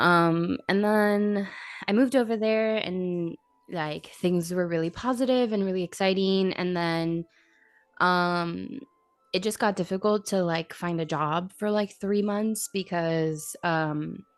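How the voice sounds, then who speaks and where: Music plays in the background as a woman speaks at a very slow pace with an American accent. Her pitch is medium with ordinary variation. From Miami, Florida. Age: 20s. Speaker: streamer and content creator. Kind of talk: casual chat.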